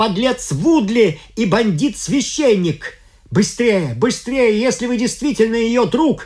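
Someone speaks in a natural reading voice.

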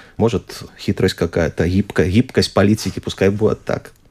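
Fairly low in pitch, the man's voice has a dark, mellow tone. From Belarus. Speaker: archaeologist. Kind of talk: radio interview. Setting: studio.

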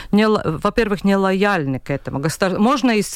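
With a Latvian accent, a woman speaks at a moderate pace and medium pitch. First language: Latvian (speaking Russian). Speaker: regional newspaper editor. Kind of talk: radio panel discussion. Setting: radio studio. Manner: halting.

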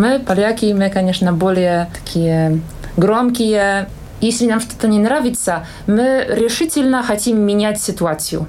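A woman with a Polish accent speaks at a fairly slow pace with ordinary pitch variation. Audible room echo and noticeable background noise surround her voice. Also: medium pitch for a woman, very even loudness. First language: Polish (speaking Russian). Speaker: singer and language teacher. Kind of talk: interview.

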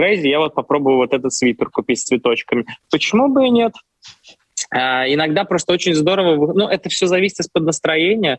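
A man's fairly high, plain, everyday voice with lively intonation and a fairly quick pace, in a dry, close sound with no echo. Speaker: opera singer. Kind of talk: interview.

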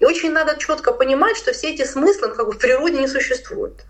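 A woman talks while noticeable noise runs in the background. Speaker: philosopher and cultural studies lecturer. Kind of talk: radio interview, lecture-like explanation.

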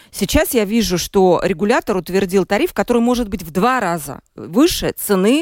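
Hardly pausing at all, the speech keeps a moderate pace. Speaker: radio host. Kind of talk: live radio talk show. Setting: studio.

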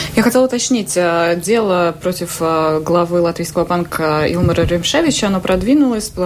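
A woman with a fairly low pitch talks at a fairly quick pace with lively intonation amid noticeable background noise. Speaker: journalist. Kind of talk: radio interview. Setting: studio.

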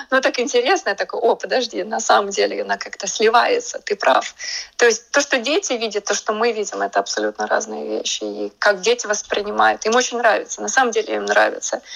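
A woman's speech moves along at a fairly quick pace. Behind her there is noticeable background noise. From Latvia, Riga. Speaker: artist. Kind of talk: radio interview. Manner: hesitant, with fillers.

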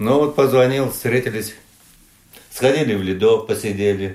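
The pitch varies in an ordinary way. Delivery comes at a fairly slow pace. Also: man. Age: 60s. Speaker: retired sailor and shoemaker. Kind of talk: interview. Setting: at home. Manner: halting.

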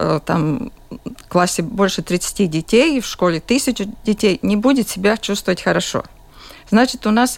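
A woman's voice sits fairly high in pitch, varying in an ordinary way as she talks fairly slowly. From Latvia, Jurmala. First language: Latvian (speaking Russian). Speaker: school principal. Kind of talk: radio interview. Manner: halting.

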